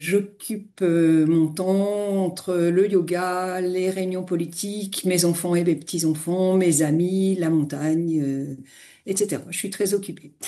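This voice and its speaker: In a dark, mellow tone, a woman talks at a fairly slow pace with a fairly low pitch and fairly even intonation. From eastern France. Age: 60s. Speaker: retired finance executive, yoga teacher. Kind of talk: interview.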